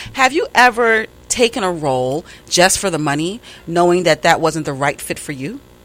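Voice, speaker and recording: Speaking at a moderate pace with a New York accent, a woman with a fairly low pitch makes very wide pitch swings. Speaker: interviewer. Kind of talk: casual interview chat.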